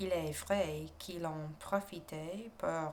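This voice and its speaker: A soft-spoken woman talks at a very slow pace with fairly even intonation. Her pitch is fairly low, and she has an American accent. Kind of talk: ASMR story reading, murder mystery. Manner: soft-spoken, relaxing.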